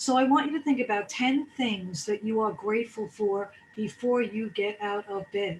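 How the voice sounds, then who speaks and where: Talking at a moderate pace with hardly any pauses, a woman sounds somewhat breathy, her fairly high pitch showing ordinary pitch variation. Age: 60s. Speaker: wellness speaker. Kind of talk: motivational talk.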